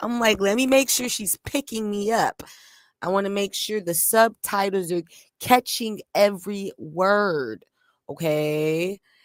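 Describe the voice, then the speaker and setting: In a normal speaking voice, a woman talks at a fairly slow pace with ordinary pitch variation, the recording very clean and silent behind her, its sound dry and close with no echo. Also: medium pitch for a woman. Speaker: streamer and musician. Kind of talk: casual livestream chat.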